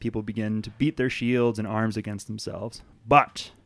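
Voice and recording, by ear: The intonation remains fairly even while the speaker reads aloud in a natural voice.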